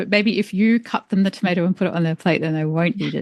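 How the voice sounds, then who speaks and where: A woman with an Australian accent talks at a very fast pace, the sound dry and close with no echo. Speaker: environmental engineer and author. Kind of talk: podcast interview. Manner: casual, filler-heavy.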